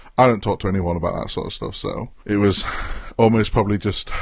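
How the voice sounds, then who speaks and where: Against a quiet background, a man with an English accent talks at a very fast pace. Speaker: podcast co-host. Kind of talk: casual chat. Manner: long random pauses between words.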